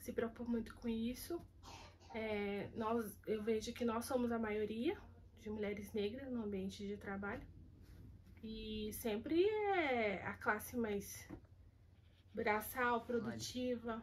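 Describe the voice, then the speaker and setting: A woman speaks at a very slow pace and a fairly high pitch, sounding somewhat breathy. Her intonation stays fairly even, with long, frequent pauses. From Brazil, São Paulo city. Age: 30s. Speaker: kitchen worker interviewee. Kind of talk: interview testimony.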